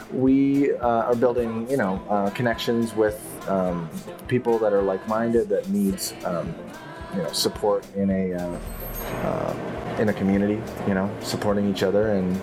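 A man speaking at a moderate pace with ordinary pitch variation, clear music in the background. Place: cafe.

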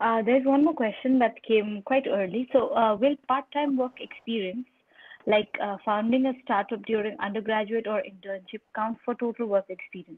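Against a quiet background, a woman speaks at a moderate pace with a fairly high pitch and ordinary pitch variation. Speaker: webinar moderator. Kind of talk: webinar presentation. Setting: video call. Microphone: video call.

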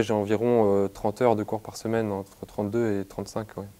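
A man speaks at a moderate pace in a fairly low pitch. His intonation is monotone and flat. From western France, Nantes; western France. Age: 20s. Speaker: university student. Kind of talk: interview. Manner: halting, with frequent hesitations. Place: office. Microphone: lapel.

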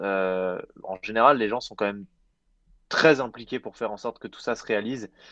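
A man with a normal speaking voice, medium pitch, fairly even intonation and a fairly quick pace, against a quiet background. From France, Jura mountains. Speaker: entrepreneur, climate initiative co-founder. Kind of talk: interview. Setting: remote, mountain chalet.

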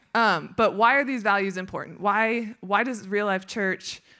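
Her tone is bright and sharp, with fairly even intonation. The woman speaks against a quiet background. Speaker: speaker. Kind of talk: sermon. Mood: warm, light laughter. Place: stage. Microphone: handheld.

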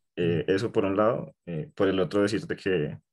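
A man speaks with a fairly low pitch. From Colombia, Bogotá. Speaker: workshop participant. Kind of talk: audience question.

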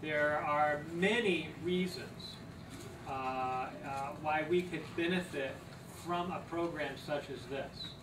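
A man speaking at a very slow pace, ordinary pitch variation, noticeable background noise behind him. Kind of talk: lecture. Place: meeting room. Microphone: camera far.

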